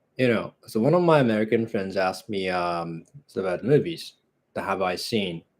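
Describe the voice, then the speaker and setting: In a relaxed tone, a man with a Japanese accent speaks at a moderate pace with ordinary pitch variation. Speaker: movie channel host. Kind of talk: casual live stream chat. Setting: live broadcast at home. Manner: relaxed, hesitant with fillers.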